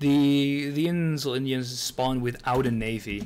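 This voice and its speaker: Speaking at a fairly slow pace, a man talks with a Dutch accent. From Netherlands. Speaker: video game streamer. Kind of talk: live gameplay commentary. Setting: live stream. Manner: halting, many fillers and restarts.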